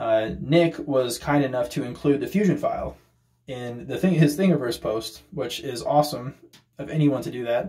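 A somewhat breathy man at a moderate pace against a quiet background. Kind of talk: casual show-and-tell tour. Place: workshop. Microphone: phone near.

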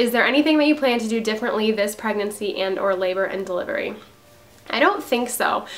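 A woman talks at a very fast pace. Her pitch is fairly high. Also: ordinary pitch variation. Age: 20s. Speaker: mom vlogger. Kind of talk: casual Q&A vlog. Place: home room. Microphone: phone near.

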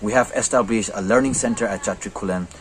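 A man's pitch shifts in an ordinary way, with light background noise behind him. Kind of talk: interview answer. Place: classroom. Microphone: phone near.

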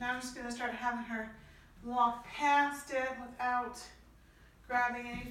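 A woman speaks at a high pitch. Light background noise and audible room echo accompany her. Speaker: trainer. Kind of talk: dog training commands and tutorial remarks. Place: home room. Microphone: camera far.

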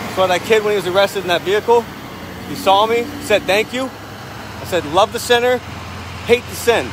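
A man's voice, dry with no echo, over noticeable background noise. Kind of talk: casual vlog chat. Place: street. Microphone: phone near.

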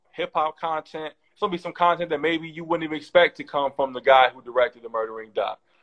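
Ordinary pitch variation from a man, with a quiet background. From Oakland, California; California. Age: 30s. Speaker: documentary director; guest. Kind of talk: casual interview. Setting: video call. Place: home room. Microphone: video call.

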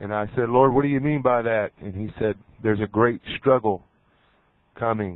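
A man speaks with ordinary pitch variation. The sound is dry with no echo, over a quiet background. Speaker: preacher. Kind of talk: fervent prayer sermon. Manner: earnest, impassioned, urgent. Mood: earnest, calm. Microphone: handheld.

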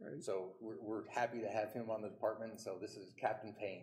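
Speaking very fast, a man keeps a monotone, flat intonation. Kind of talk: formal recognition speech. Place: hall.

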